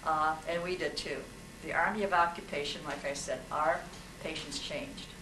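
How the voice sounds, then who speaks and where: With an American accent and a fairly low pitch, a woman speaks at a moderate pace amid noticeable background noise. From Ukrainian American, US. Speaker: Army nurse veteran. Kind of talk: talk about wartime memories. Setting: live talk with audience. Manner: nervous, animated, humorous. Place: hall. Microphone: camera far.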